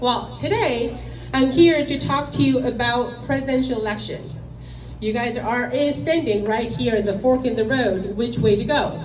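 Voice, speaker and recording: Amid noticeable background noise and audible room echo, a woman talks at a moderate pace with a fairly high pitch and ordinary pitch variation. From South Korea. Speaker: finance executive, speaker. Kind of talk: lecture.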